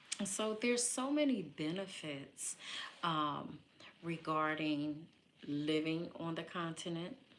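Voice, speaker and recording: Speaking at a very slow pace with long, frequent pauses, a woman uses a fairly low pitch and lively intonation, and audible room echo surrounds her voice. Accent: American. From US Northeast, Philadelphia. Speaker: live streamer, matchmaker. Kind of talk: casual live stream talk. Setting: live stream. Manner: animated.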